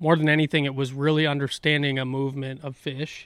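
A man with an American accent and a fairly high pitch, talking at a fairly quick pace with fairly even intonation, on a very clean recording with a silent background. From upper Midwest, La Crosse area, Wisconsin. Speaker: tournament bass angler. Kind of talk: casual chat. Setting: studio.

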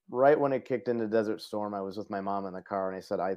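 This man talks at a fairly quick pace with an American accent and ordinary pitch variation. It is an ordinary speaking voice. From Parma, Cleveland, Ohio. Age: 40s. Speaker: Air Force veteran and foundation vice president. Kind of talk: interview conversation.

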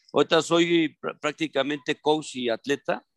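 Here a man speaks at a fairly high pitch. The sound is dry and close with no echo. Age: 20s. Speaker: triathlon coach and athlete. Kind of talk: casual chat. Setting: video call. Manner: halting.

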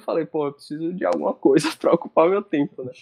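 A man talks in a plain, everyday voice. His pace is fairly quick, with ordinary pitch variation. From Salvador, Bahia, Brazil. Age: 20s. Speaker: sports journalist and basketball social media creator. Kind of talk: casual interview chat.

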